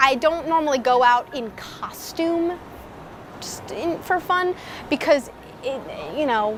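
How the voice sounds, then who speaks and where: Against noticeable background noise, a woman with a high voice speaks at a fairly slow pace with lively intonation. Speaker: drag king performer. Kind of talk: documentary interview.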